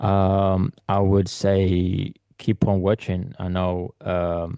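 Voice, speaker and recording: A man with a non-native accent speaks very slowly in a very deep, low pitch and a dark, mellow tone, with fairly even intonation over a quiet background. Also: dry, close sound with no echo. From Eritrea, raised in London. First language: not English. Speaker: photographer. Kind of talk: interview. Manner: halting, many fillers.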